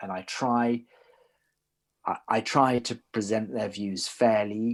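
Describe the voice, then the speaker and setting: A man with a British accent speaks at a medium pitch. The recording is very clean, with a silent background. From Britain. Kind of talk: interview. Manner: hesitant, with frequent repetitions.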